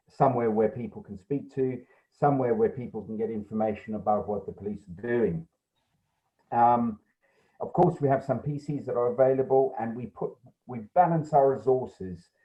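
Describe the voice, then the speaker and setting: Here a man with a South African accent speaks at a medium pitch and a moderate pace, somewhat breathy. His intonation is lively, and his loudness swings a great deal. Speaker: police sergeant. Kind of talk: report to a council committee. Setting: video call. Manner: hesitant, many ums.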